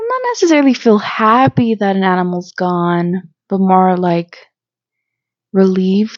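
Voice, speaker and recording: A woman speaks at a fairly slow pace and a medium pitch. Her pitch varies in an ordinary way. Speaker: vlogger. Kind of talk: casual chat. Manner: animated.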